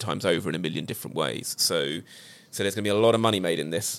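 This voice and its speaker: A man with a British accent speaks in a very deep, low pitch with ordinary pitch variation. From Britain. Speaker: TV production company founder. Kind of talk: casual chat.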